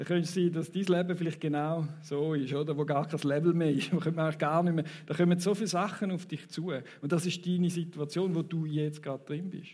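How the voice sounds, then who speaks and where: A man with a Thurgau accent talks at a very fast pace in a high, dark and mellow voice. His intonation is flat and monotone, and the room echo is audible. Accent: Thurgau Swiss German dialect. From Switzerland, Thurgau. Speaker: preacher. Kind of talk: sermon. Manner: conversational, audience interaction.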